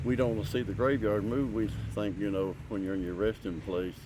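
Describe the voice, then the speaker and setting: A man with an Appalachian accent at a moderate pace, with audible room echo. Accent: Appalachian Kentucky. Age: 60s. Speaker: local resident. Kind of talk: interview.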